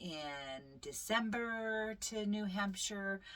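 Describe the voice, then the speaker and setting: A woman's voice comes through with a bright, sharp tone. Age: 60s. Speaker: vlogger. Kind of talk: casual update vlog. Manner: hesitant fillers, um and uh.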